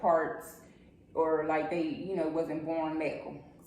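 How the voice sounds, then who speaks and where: The voice is monotone with flat intonation, heard through noticeable background noise and audible room echo. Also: woman. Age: 30s. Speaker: podcast guest. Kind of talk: casual chat.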